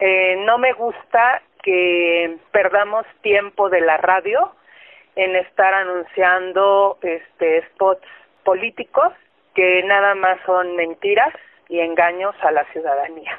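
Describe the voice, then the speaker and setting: A woman speaks at a very slow pace with a medium pitch, fairly even intonation and very even loudness. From central Mexico (Tlalnepantla, State of Mexico). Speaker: radio listener. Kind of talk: testimony.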